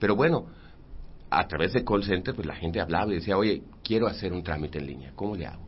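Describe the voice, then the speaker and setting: A man talks at a very fast pace with a very deep, low pitch. His voice is somewhat breathy, with ordinary pitch variation and big swings in loudness. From Mérida, Yucatán, Mexico. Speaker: architect and city urban development director. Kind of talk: radio interview. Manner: halting, many repeated words.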